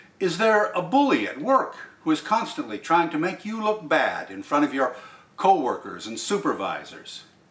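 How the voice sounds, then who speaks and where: The speaker moves at a moderate pace, with very wide pitch swings and big swings in loudness. Noticeable background noise runs underneath. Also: man, high pitch for a man. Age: old. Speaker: poetry reader. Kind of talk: poetry commentary.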